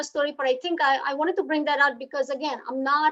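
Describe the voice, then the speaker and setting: In a Gujarati accent, a woman speaks at a high pitch. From India, Gujarat (Surat). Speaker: hotelier and business leader. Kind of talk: speech at online book launch. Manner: halting, many fillers.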